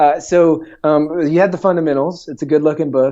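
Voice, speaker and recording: A fairly high-pitched man at a fairly quick pace, with a slight Southern US accent. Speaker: entrepreneur and author. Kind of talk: podcast interview. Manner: many filler words.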